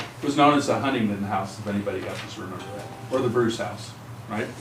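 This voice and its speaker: This clip features a man talking. His voice carries audible room echo, and noticeable background noise is present. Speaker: resident speaking at public meeting. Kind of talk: public comment. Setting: county commission meeting room. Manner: projecting loudly.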